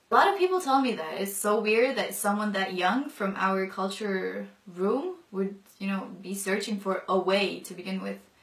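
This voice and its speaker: The speaker keeps a fairly even intonation at a moderate pace over noticeable background noise. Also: woman, medium pitch for a woman. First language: non-English mother tongue. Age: 20s. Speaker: convert sharing her story. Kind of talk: testimony. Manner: casual with many fillers.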